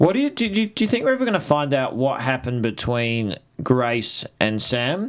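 With an Australian accent, a man speaks at a moderate pace. His medium-pitched voice has very wide pitch swings. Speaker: TV aftershow host. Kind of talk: casual chat.

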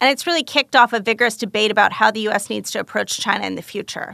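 A woman with a Canadian accent, very fast and fairly high-pitched, bright and sharp in tone, with a dry, close sound, no echo and a quiet background. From Canada, Calgary. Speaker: foreign policy fellow. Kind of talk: self-introduction monologue.

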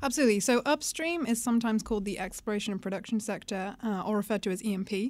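On a very clean recording with a silent background, a woman with a British accent talks at a very fast pace and a fairly high pitch, with ordinary pitch variation and hardly any pauses. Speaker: investment analyst. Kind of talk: explanatory podcast discussion. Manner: hesitant, frequent uh fillers.

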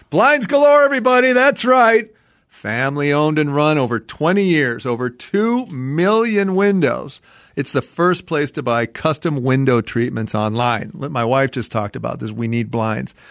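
A man at a fairly high pitch with an animated tone and very wide pitch swings, over a quiet background. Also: moderate pace. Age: 60s. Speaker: home improvement expert. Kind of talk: casual chat.

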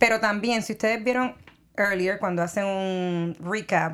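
A woman with a Puerto Rican accent speaks at a medium pitch and a moderate pace with ordinary pitch variation, in a very clean recording with a silent background. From Puerto Rico. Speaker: entertainment show co-host. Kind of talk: casual chat.

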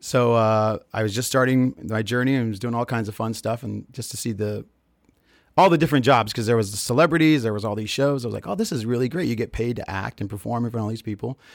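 A man with an American accent talks at a very fast pace and a medium pitch. His pitch varies in an ordinary way, and the recording is very clean with a silent background. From Texas, El Paso. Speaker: theme park actor. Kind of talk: interview.

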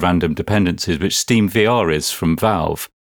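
Captured in a very clean recording with a silent background and a dry, close sound with no echo, a man with an unremarkable speaking voice talks at fairly low pitch, a moderate pace and ordinary pitch variation. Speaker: software developer and podcast co-host.

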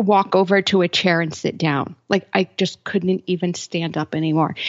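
A woman uses an ordinary speaking voice, medium in pitch, with fairly even intonation at a moderate pace. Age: 40s. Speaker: health blogger and podcaster. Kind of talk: interview.

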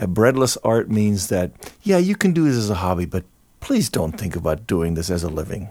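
The recording is very clean with a silent background. A man with a fairly low pitch and a dark, mellow tone talks at a fairly quick pace with lively intonation. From Germany, near Cologne. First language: German. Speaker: jazz musician and composer. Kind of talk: casual interview.

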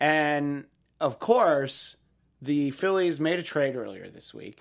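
Lively intonation marks this man's fairly slow speech. The recording is very clean, with a silent background. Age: 40s. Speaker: sports podcast host. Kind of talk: casual sports talk show.

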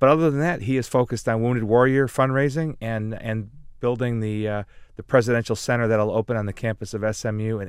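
A man's medium-pitched voice at a fairly quick pace with fairly even intonation. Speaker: former political communications director, guest co-host. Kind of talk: casual interview conversation. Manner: halting, frequently repeats words.

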